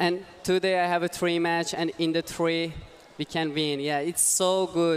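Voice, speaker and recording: Against noticeable background noise, a man speaks in a high pitch with monotone, flat intonation. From Iran. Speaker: robotics team mentor and university lecturer. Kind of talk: interview. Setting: commentary booth at robotics event. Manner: halting, many fillers.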